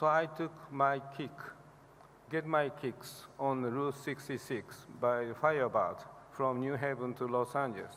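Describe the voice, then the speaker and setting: Speaking at a fairly slow pace, a man with a Japanese accent has a fairly high pitch. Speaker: liver specialist professor receiving award. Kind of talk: award acceptance speech. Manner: halting.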